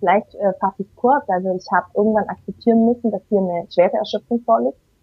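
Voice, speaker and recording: The pace is fairly quick. A plain, everyday voice carries ordinary pitch variation. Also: woman. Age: 30s. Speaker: single mother. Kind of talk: interview.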